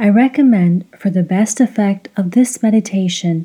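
A woman speaks at a fairly slow pace in a medium pitch, her somewhat breathy voice dark and mellow, her tone calm and soothing, with ordinary pitch variation. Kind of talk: guided meditation. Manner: slow, calm, soothing; gentle, encouraging, rhythmic.

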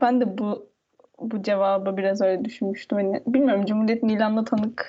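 A woman talks at a moderate pace with a fairly high pitch. Her voice is somewhat breathy, with ordinary pitch variation. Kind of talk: casual chat.

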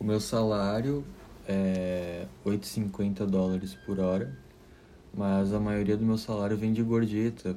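Very slow pace with ordinary pitch variation, audible room echo and music in the background. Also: man. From southern Brazil, Caxias do Sul, Rio Grande do Sul. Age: 20s. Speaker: architecture student and waiter. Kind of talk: interview. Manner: halting, many fillers.

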